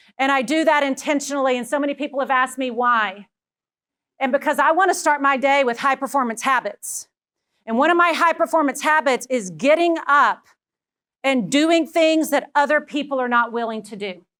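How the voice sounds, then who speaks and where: An animated voice with a Texan accent moves at a fairly quick pace, with ordinary pitch variation. The tone is bright and sharp, and the recording is very clean, with a silent background. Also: woman, high pitch for a woman. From Texas. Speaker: education leadership speaker. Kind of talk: keynote talk.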